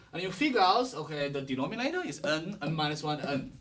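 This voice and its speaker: Speaking with a Chinese accent, a man talks at a fairly quick pace and fairly high pitch, with very wide pitch swings. Noticeable background noise and audible room echo fill the recording. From China. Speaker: professor. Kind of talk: lecture. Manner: fast.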